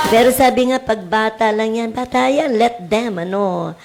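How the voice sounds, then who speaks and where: Over noticeable background noise, a woman talks fairly slowly at a fairly high pitch. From Cavite, Philippines. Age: old. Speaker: teacher and radio host. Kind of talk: radio talk show advice. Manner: loud.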